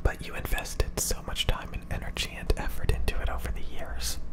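Soft-spoken and whispering, a man talks at a moderate pace over loud background noise. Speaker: content creator. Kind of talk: casual advice talk, soft-spoken. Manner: soft close-mic ASMR whisper. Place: home room. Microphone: studio mic.

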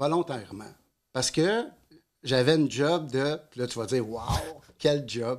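Lively intonation from a man at a very slow pace, over a quiet background. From Quebec. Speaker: addiction therapist and NLP coach. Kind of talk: casual interview. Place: studio. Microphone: studio mic.

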